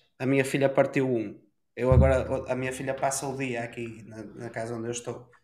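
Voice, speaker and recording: Medium-pitched male speech at a moderate pace, audible room echo around it. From northern Portugal, Ponte de Lima. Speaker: podcast co-host. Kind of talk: casual chat.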